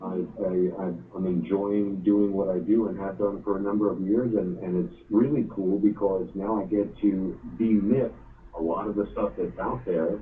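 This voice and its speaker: Audible room echo carries a man's fairly low voice with an American accent. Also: ordinary pitch variation, moderate pace. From New York, Brooklyn. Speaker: mortgage lender. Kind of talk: interview.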